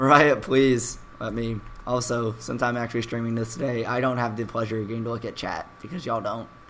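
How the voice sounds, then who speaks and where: Against noticeable background noise, a man at medium pitch speaks fairly quickly with monotone, flat intonation. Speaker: esports caster. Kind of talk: live commentary. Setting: live stream.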